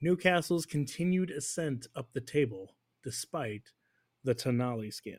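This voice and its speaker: Intonation stays lively in an ordinary speaking voice that proceeds at a fairly slow speed. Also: man. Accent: American. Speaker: soccer podcast host. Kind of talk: casual chat.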